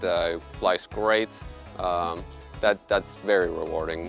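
A man at a moderate pace, his voice dry with no echo, clear music playing in the background. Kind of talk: interview answer. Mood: warm, proud of work. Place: street. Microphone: lapel.

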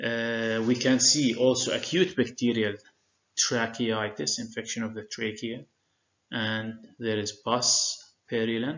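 A man speaks fairly slowly with an Arabic accent. His medium pitch shows ordinary variation. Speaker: medical lecturer. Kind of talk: lecture. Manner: frequent filler hesitations.

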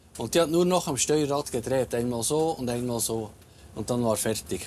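Against light background noise, a man talks at a fairly slow pace with lively intonation. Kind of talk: interview answer. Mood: amused storytelling. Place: bus.

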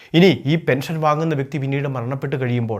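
A man speaks in a plain, everyday voice, fairly high in pitch with ordinary pitch variation. The recording is very clean, with a silent background. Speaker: YouTube news explainer. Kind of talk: informational narration.

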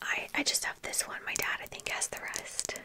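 A whispering woman. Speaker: ASMR creator. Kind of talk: soft-spoken show-and-tell chat. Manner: soft close-mic ASMR speech. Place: home room. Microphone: studio mic.

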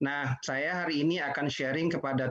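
Against a quiet background, a man's speech proceeds at a moderate pace. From West Sumatra, Indonesia (Padang Pariaman); West Sumatra. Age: 50s. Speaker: digital business professional; webinar presenter. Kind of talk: webinar presentation. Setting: video call webinar, working from home. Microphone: video call.

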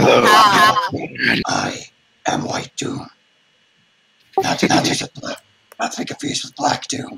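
Putting on a character voice, a man talks at an extremely high pitch and a fairly slow pace with long, frequent pauses. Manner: depressing, gloomy.

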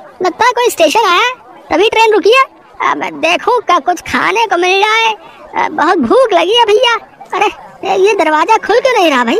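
Extremely high pitch in a cartoonish character voice. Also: moderate pace. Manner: casual, impatient.

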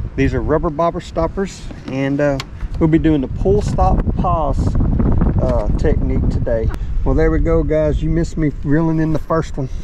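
A man speaks at a moderate pace. Loud background noise runs behind him. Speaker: fishing vlogger. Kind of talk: casual vlog chat. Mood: relaxed, cheerful. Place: boat. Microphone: phone near.

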